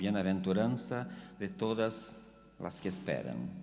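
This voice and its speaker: A man speaks very slowly with a Portuguese accent, his pitch fairly low. Music plays in the background, and the room echo is audible. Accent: Portuguese-accented Spanish (portuñol). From Brazil. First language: Portuguese (speaking Spanish). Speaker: theologian. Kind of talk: lecture. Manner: halting.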